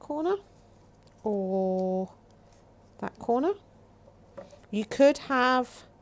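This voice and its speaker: Her pitch is high and swings very widely. The woman speaks at a very slow pace with long, frequent pauses. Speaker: craft demonstrator. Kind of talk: live craft tutorial. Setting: livestream. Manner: casual, thinking aloud.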